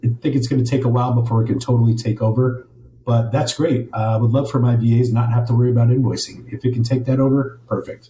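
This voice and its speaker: Speaking very fast, a man with a medium pitch and a somewhat breathy, dark, mellow tone keeps his intonation monotone and flat. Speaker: property management business owner. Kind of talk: interview.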